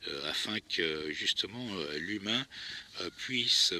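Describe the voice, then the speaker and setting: A man talks very slowly, and noticeable background noise runs behind him. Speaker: actor and co-screenwriter. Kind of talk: improvised spoken reflection while walking. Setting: outdoors. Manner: hesitant, many filler sounds.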